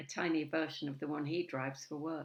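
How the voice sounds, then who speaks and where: The voice, with an English accent and vocal fry, moves at a moderate pace in a monotone, flat intonation. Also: woman. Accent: received pronunciation. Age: 70s. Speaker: spoken word poet. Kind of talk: spoken word performance.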